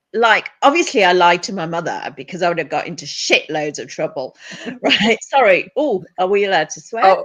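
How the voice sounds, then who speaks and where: This woman talks at a moderate pace with a British accent. Her intonation is lively. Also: big swings in loudness. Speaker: therapist and counsellor. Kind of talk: casual interview chat.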